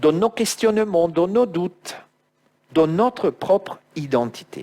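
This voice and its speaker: With an Italian accent, the speaker goes very slowly, pitch swinging very widely. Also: man. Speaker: preacher. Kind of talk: sermon.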